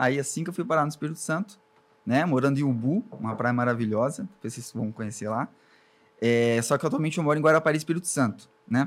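A man talking very fast with lively intonation. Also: fairly high pitch for a man. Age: 20s. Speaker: web agency owner. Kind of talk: interview.

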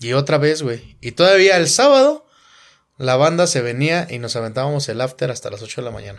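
A fairly high-pitched man at a fairly quick pace, with ordinary pitch variation and big swings in loudness. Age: 30s. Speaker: podcast host and musician. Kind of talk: casual chat.

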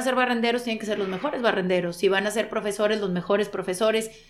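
A woman with fairly high pitch and fairly even intonation has a normal speaking voice. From Monterrey, Mexico. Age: 40s. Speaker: sports broadcaster. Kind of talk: interview conversation.

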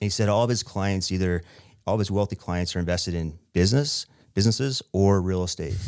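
Fairly low in pitch, a man with an American accent talks at a fairly quick pace in a normal speaking voice with ordinary pitch variation, on a very clean recording with a silent background. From Utah, small town. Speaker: real estate investor. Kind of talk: interview.

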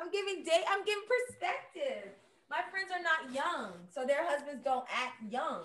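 A woman's extremely high voice in an American accent, with very wide pitch swings and a fairly slow pace. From Miami, Florida. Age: 30s. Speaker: host's sister, segment guest. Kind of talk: casual chat.

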